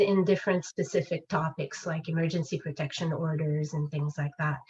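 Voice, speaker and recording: Speaking with a French accent, a woman has a fairly low pitch. Her pace is moderate. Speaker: legal education presenter. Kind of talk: webinar presentation. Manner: hesitant, many fillers.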